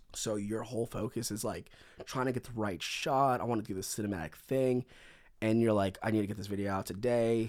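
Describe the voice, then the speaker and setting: Using an American accent, a man speaks at a fairly quick pace in a medium pitch. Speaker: content creator. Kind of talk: casual chat. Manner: animated.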